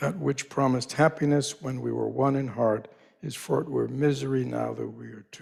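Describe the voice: Reading aloud, plain and simple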